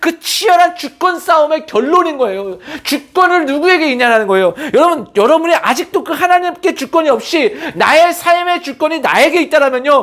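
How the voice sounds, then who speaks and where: Someone with a slight non-native accent speaks at a fairly quick pace. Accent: slightly non-native Korean pronunciation. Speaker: pastor. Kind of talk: sermon. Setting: church service. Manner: emphatic, earnest.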